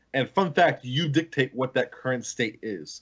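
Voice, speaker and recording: A man with a fairly high-pitched voice speaks with ordinary pitch variation over a quiet background. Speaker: podcast panelist. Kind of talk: casual chat. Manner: talkative, rambling. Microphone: video call.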